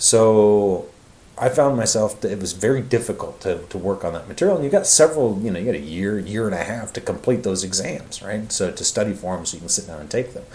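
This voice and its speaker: A man with a fairly low pitch talks at a fairly quick pace, his intonation lively and his loudness swinging widely, with audible room echo. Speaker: university lecturer. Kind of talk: recorded lecture. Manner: fast; casual, many fillers.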